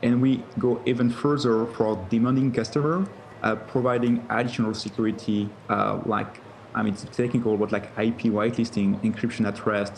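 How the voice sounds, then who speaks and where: Fairly even in intonation, a man talks at a moderate pace. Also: medium pitch for a man. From France. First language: French. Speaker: tech company co-founder and CEO. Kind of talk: TV interview. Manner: halting, many fillers.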